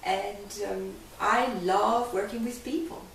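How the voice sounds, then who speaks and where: Audible room echo surrounds a woman with a Hungarian accent, whose pitch varies in an ordinary way. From Hungary. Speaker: life coach. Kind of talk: interview.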